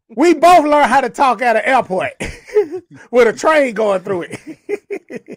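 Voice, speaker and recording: A man speaks loud in an animated tone with lively intonation. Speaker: livestream talk show co-host. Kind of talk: casual chat.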